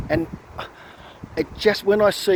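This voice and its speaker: With an Australian accent, a man speaks in an animated tone at a fairly slow pace against noticeable background noise. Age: 50s. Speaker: political commentator vlogger. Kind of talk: opinion rant monologue. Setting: outdoors walking. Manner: animated, repetitive and halting.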